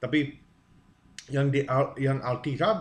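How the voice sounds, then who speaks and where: A man speaks in a somewhat breathy voice. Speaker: preacher. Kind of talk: sermon-style teaching. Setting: video to camera. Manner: halting.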